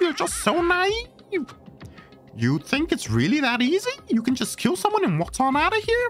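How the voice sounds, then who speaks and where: Clear music plays behind a put-on character voice that sounds strained and high-pitched, moving at a moderate pace. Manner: taunting, devilish.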